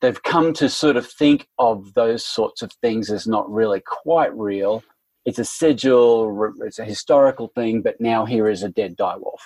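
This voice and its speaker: A man with an Australian accent, medium pitch and ordinary pitch variation, at a moderate pace in a dry, close sound with no echo. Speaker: literary theory academic. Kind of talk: casual interview chat.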